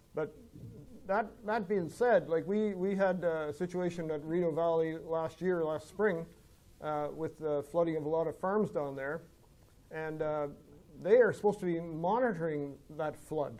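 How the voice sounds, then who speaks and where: A man with an Ontario accent speaks at a moderate pace in a dark, mellow tone. His pitch is high, with ordinary variation. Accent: Canadian English, rural Ontario. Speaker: farmer and landowner association president. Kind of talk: seminar Q&A discussion. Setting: seminar with audience. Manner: mumbling; halting, many fillers.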